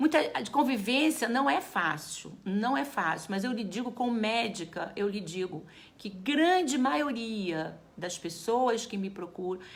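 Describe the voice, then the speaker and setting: This woman's voice sits fairly high and is somewhat breathy, with very wide pitch swings. She talks at a fairly slow pace. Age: 60s. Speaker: geriatrician. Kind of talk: live talk to viewers. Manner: casual, conversational.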